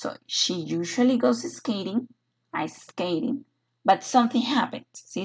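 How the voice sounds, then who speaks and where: This woman's pitch swings very widely as she talks at a moderate pace with vocal fry. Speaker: English teacher. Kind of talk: online lecture. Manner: hesitant with filler sounds.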